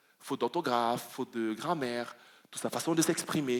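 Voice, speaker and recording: A man speaking at a fairly quick pace. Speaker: pastor. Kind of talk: sermon. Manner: fast.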